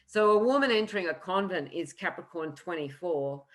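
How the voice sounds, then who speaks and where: Very wide pitch swings mark this woman's Australian accent. Her pitch is very deep and low. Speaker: astrologer. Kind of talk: lecture. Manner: fast.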